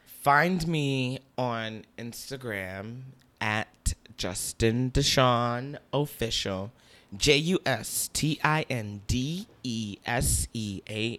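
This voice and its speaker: A man with an American accent at a medium pitch, very slow, with ordinary pitch variation, very cleanly recorded over a silent background. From Newark, New Jersey. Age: young. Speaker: dancer and choreographer. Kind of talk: casual chat. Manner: animated.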